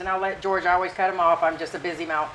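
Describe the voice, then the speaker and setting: This woman has an American accent and a fairly low pitch. Noticeable background noise runs behind her. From United States. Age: 50s. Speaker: expat living in the Philippines. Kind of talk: casual talk to camera, vlog discussion.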